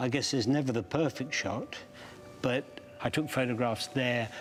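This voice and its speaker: Music plays in the background as a man talks at a moderate pace, with medium pitch and fairly even intonation. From England. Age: 70s. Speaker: underwater photographer. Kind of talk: interview. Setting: museum gallery.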